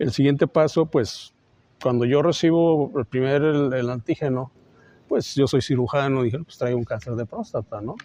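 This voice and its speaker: A man's dark, mellow tone carries ordinary pitch variation in a dry, close sound with no echo. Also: fairly high pitch for a man, moderate pace. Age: 60s. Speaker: surgeon, cancer survivor. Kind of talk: testimony.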